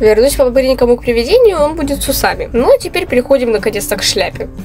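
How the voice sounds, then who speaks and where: Over background music, a woman speaks very fast with lively intonation. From Ukraine, Dnipro. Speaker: artist. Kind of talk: casual gaming commentary.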